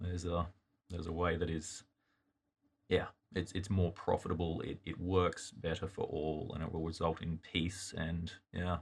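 A man speaks in a monotone with flat intonation and a very deep, low pitch. His voice is somewhat breathy over a quiet background. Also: moderate pace. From Australia. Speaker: youth pastor. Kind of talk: Bible study discussion. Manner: halting, repeats words.

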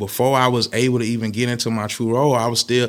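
A man with an American accent and a normal speaking voice talks at a fairly quick pace and a medium pitch, in a very clean recording with a silent background. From Tallahassee, Florida, US South. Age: 30s. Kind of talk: casual interview.

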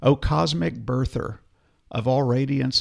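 The speech comes at a fairly slow pace in a gentle, warm tone. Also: man. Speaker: podcast co-host. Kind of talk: casual chat; reading aloud a prayer, solemn and devotional. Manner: slow, reverent, gentle, reading with warm emphasis.

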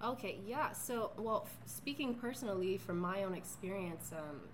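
Audible room echo and noticeable background noise, with ordinary pitch variation at a moderate pace. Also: woman. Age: 30s. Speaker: physical therapist and strength coach. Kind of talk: casual chat.

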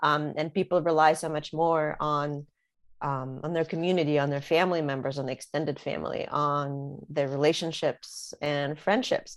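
A woman's very deep, low voice with a slight Russian accent, moderate pace and fairly even intonation against a quiet background. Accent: slight Russian accent over American English. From Russia (St. Petersburg), moved to US as teenager. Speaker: author. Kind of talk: interview. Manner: halting, many fillers.

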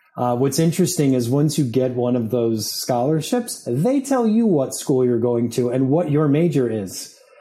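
A man talks at a moderate pace and medium pitch with ordinary pitch variation and hardly any pauses. His loudness stays very even over noticeable background noise. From upstate New York. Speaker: media executive and Air Force veteran. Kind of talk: interview. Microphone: echo.

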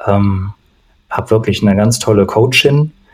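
A man speaks in a somewhat breathy voice. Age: 40s. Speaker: coach, former opera singer. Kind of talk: casual chat.

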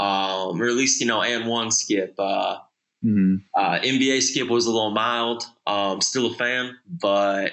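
Fairly slow and very even in loudness, a man speaks with a Midwestern American accent. His pitch is medium and his intonation fairly even. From Michigan (Okemos, near Lansing). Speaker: sneaker industry creative. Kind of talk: casual interview chat.

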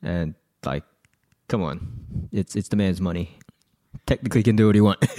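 Dark and mellow in tone, a man with an Australian accent speaks at a very deep, low pitch and a moderate pace, with ordinary pitch variation. Long, frequent pauses break up his speech, and the sound is dry and close with no echo. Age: 20s. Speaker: tech podcast co-host. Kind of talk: casual chat.

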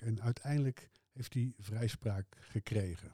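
The tone here is dark and mellow. A man delivers his words at a fairly slow pace. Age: 60s. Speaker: music fan, host's father. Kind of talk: casual interview about music. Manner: hesitant, many filler sounds.

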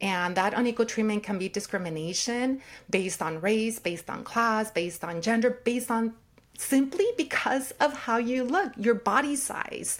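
On a very clean recording with a silent background, a woman with an ordinary speaking voice talks at a moderate pace, her fairly high pitch carried by lively intonation. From California, Watsonville, born in Mexico. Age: 40s. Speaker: sociology professor. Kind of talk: interview conversation.

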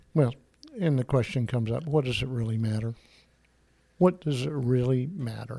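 A man speaks at a moderate pace in a medium-pitched, dark, mellow, somewhat breathy voice with ordinary pitch variation. He leaves long, frequent pauses. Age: 70s. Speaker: church deacon. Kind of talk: interview.

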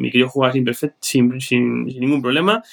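Medium in pitch, a man's voice races along at a very fast pace. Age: 40s. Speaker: board game player. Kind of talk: casual chat.

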